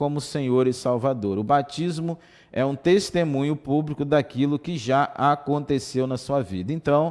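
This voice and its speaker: In a very clean recording with a silent background, a man with an unremarkable speaking voice talks at a fairly slow pace, with a fairly high pitch and ordinary pitch variation. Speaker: Sunday school teacher. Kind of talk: Bible lesson. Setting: livestream and web radio.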